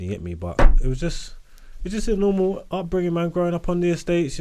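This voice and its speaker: A man speaks fairly quickly in a fairly high voice with a slight Cockney accent. His tone is dark and mellow. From East London (Hackney). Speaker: rapper and podcaster. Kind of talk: casual interview chat.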